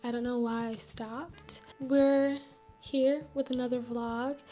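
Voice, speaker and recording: Over music in the background, a woman whispers quietly at a fairly slow pace. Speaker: vlogger. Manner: quiet, near-whispering delivery; shy, scattered.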